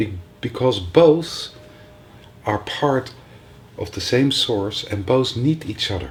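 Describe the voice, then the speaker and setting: At a fairly slow pace with long, frequent pauses, a man of medium pitch speaks with lively intonation. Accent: non-native. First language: not English. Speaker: spiritual teacher. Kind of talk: workshop talk. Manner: halting.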